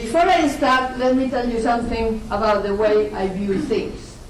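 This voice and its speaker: Through audible room echo and noticeable background noise, a woman with a high voice speaks at a fairly slow pace with ordinary pitch variation. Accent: Spanish. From Spain. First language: Spanish. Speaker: university lecturer. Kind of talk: lecture. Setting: lecture hall. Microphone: poor audio quality.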